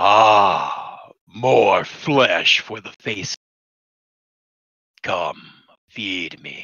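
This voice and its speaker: In a put-on character voice, a man speaks raspy and fairly low, at a very slow pace with long, frequent pauses. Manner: ominous, hungry.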